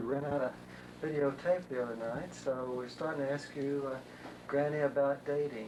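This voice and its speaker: Against noticeable background noise, a man with a fairly high voice talks at a moderate pace in a flat monotone. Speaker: family interviewer. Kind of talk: interview questions.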